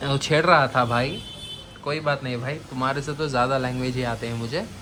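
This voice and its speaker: With noticeable background noise and audible room echo, a man speaks at a moderate pace with fairly even intonation. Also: medium pitch for a man. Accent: non-native. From Bangalore, Karnataka, India. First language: Urdu (speaking Hindi). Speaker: aquarium vlogger. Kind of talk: casual vlog.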